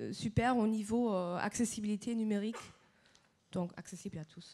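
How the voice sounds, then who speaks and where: Speaking at a moderate pace, a woman with fairly high pitch and a dark, mellow tone keeps a fairly even intonation while her loudness swings widely. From Germany. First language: German (speaking French). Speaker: association representative. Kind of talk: panel presentation.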